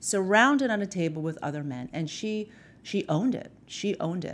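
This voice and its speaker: At a moderate pace, a woman speaks. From New York, Queens (Filipino-American). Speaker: lawyer. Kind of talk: interview. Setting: studio. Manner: soft-spoken.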